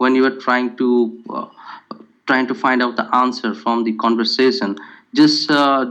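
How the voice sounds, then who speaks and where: This man speaks at a medium pitch and a fairly slow pace, with ordinary pitch variation. His tone is bright and sharp, with a Bengali accent. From India, Kolkata. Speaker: test candidate. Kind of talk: interview. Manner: hesitant, many fillers.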